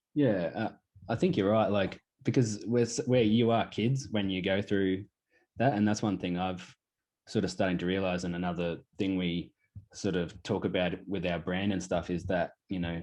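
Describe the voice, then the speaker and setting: With an Australian accent, a man speaks at a moderate pace in a very deep, low voice. His intonation is fairly even against a quiet background. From Australia, Queensland (Pittsworth). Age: 20s. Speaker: clothing brand founder. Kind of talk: casual interview.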